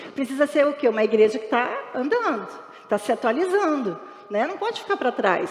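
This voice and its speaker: A woman speaks at a high pitch with very wide pitch swings over noticeable background noise. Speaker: pastor. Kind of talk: sermon. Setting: church. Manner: fast.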